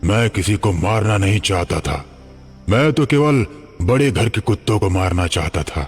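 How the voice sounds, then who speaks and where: Clear music plays behind a man doing a cartoonish character voice at a fairly low pitch. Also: moderate pace. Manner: cold, commanding.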